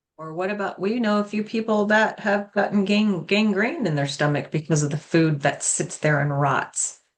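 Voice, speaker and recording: A woman talks in a normal speaking voice at a medium pitch. She keeps a moderate pace with hardly any pauses. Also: lively intonation. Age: 60s. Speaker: fitness and nutrition coach, podcast co-host. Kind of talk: casual chat.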